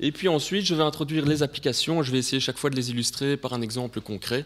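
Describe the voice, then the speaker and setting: Very fast speech comes from a man with a fairly high pitch and ordinary pitch variation. The recording is very clean with a silent background. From Belgium. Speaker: sales director presenting at a conference. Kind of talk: conference presentation. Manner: hesitant, many filler sounds.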